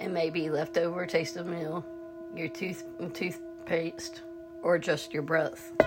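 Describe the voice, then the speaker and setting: A woman's gentle voice at a very slow pace, with music in the background. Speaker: guided meditation teacher. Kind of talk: guided meditation. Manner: gentle, instructional.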